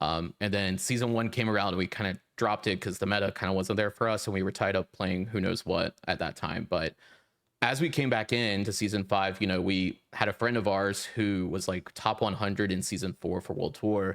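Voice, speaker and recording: A man's unremarkable speaking voice, fairly low and fairly quick, in a dry, close sound with no echo. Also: fairly even intonation, very clean recording, silent background. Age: 20s. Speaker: podcast co-host, software engineer. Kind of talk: casual interview chat.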